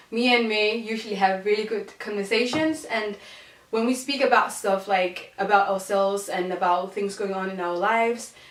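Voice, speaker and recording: A woman's fairly high voice in a Danish accent, at a moderate pace with fairly even intonation, amid noticeable background noise and audible room echo. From Denmark, Odense. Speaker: podcast co-host. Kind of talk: casual chat.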